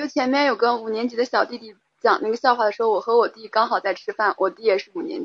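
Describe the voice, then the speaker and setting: A woman with a fairly high voice and ordinary pitch variation talks at a very fast pace. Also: big swings in loudness. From Xinjiang, China. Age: young. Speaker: caller. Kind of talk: casual call-in chat. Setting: phone or app call-in, weak signal.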